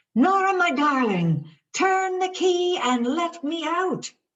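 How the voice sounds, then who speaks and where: Squeaky and put-on, the character voice moves at a fairly slow pace. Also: female-sounding voice, extremely high pitch for a woman. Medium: read story. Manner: kind, affectionate.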